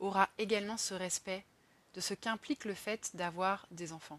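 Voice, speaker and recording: A woman speaks at a moderate pace and medium pitch with ordinary pitch variation, the sound dry and close with no echo. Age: 30s. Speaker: podcaster on career change and social economy. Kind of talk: personal monologue podcast.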